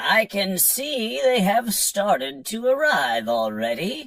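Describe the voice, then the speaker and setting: In a put-on character voice of middle pitch, the speaker goes at a fairly slow pace with very wide pitch swings. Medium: read story. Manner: loud, formal courtesy.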